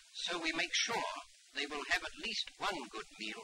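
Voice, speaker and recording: Noticeable background noise surrounds a man who speaks at a moderate pace. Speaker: politician, council leader. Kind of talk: official public statement.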